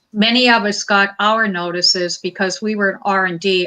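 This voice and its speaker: In a plain, everyday voice with an American accent, a woman speaks at a medium pitch with fairly even intonation. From Montana. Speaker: lawyer. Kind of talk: interview.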